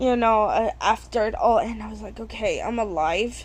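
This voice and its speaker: Mumbling, a woman speaks at a fairly slow pace. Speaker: vlogger. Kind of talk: personal testimony.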